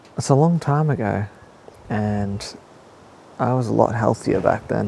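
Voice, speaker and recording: A man speaks at a fairly slow pace in a medium pitch. His pitch variation is ordinary, and noticeable background noise is present. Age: 30s. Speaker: fitness podcaster. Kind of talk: solo podcast monologue. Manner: subdued, not so positive; hesitant, many fillers.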